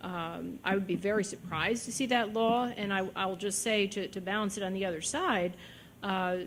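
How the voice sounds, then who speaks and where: Audible room echo surrounds a woman speaking at a medium pitch and moderate pace with fairly even intonation. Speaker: judge. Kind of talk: lecture Q&A answer. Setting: lecture hall with audience.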